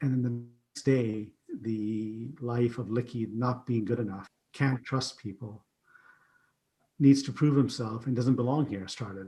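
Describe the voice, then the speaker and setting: Somewhat breathy and dark, mellow in tone, a man with a Canadian accent speaks at a medium pitch and a fairly slow pace with fairly even intonation. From Canada (Ottawa), immigrant from Uganda via Pakistan. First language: not English. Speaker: keynote speaker and IT company CEO. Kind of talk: podcast interview, personal story.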